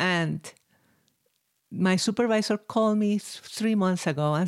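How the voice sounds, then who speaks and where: Speaking with a Spanish accent is a woman. Her pitch is medium. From Chile, Santiago. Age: 60s. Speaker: violinist. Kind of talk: interview.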